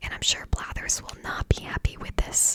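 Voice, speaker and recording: Noticeable background noise sits behind a whispering voice. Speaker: ASMR content creator / gamer. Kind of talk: ASMR gaming commentary, relaxed talk to camera. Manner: calm, relaxed, unhurried; whispered, soft.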